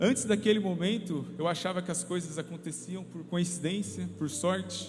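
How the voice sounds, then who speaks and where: A man with a São Paulo interior accent speaks at a moderate pace in a high pitch, with ordinary pitch variation and audible room echo. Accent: noticeable São Paulo interior. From interior of São Paulo state, Brazil (São José dos Campos). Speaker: lay preacher, ministry leader. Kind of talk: sermon. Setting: church service.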